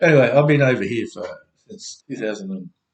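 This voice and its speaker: With an Australian accent, a man speaks at a moderate pace in a somewhat breathy, medium-pitched voice. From Australia (Elizabeth, South Australia). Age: 60s. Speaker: vlogger. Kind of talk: personal video message. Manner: halting.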